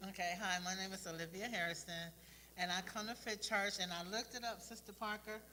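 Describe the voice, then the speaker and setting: A woman at medium pitch, talking at a very fast pace, bright and sharp in tone, with fairly even intonation and audible room echo. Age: 60s. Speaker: church fitness class member. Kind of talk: testimony. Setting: live stream from church warehouse.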